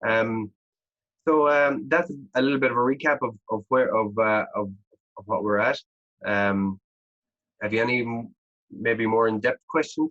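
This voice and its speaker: With an Irish accent, a man speaks with long, frequent pauses in a dry, close sound with no echo. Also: medium pitch for a man, ordinary pitch variation, moderate pace. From Ireland. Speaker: agritech startup founder and engineer. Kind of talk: podcast interview. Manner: hesitant, many fillers and repetitions.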